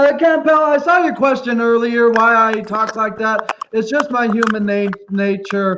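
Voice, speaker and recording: The voice is loud, with hardly any pauses. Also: man, extremely high pitch for a man, ordinary pitch variation, fairly slow pace. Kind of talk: casual chat.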